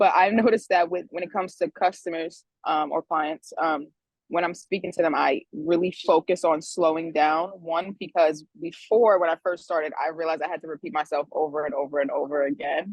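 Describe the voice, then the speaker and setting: Talking at a fairly quick pace, a woman keeps her fairly low pitch. Her intonation stays fairly even. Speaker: insurance adjuster. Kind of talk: group video call discussion. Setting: online group call. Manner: fast.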